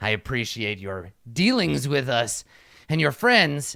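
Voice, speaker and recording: A man's put-on, menacing character voice, growling at a fairly slow pace, in a very clean recording with a silent background. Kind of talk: formal, archaic. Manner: snarling, menacing.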